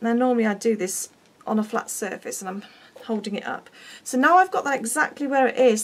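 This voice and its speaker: A woman speaks at a fairly high pitch with ordinary variation in it. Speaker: craft demonstrator. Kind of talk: tutorial. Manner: chatty; halting.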